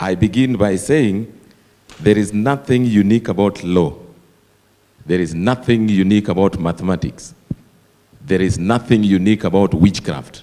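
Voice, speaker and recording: At a moderate pace and with ordinary pitch variation, the voice carries a dark, mellow tone. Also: man. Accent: Kenyan. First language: Dholuo. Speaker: associate professor of applied linguistics. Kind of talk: conference Q&A comment.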